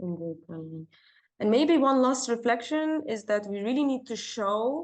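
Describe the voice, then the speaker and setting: Her pitch is fairly high and swings very widely. She is a woman speaking with a non-native accent. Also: moderate pace. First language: not English. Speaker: workshop breakout room facilitator. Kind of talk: online group discussion. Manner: halting, with many fillers and repeats.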